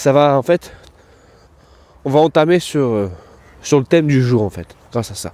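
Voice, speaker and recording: A man speaks in a dark, mellow tone at a fairly high pitch. His loudness swings widely, and he leaves long, frequent pauses. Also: lively intonation, moderate pace. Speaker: dog trainer and podcast host. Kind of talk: casual podcast monologue. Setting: outdoors walking the dog in town.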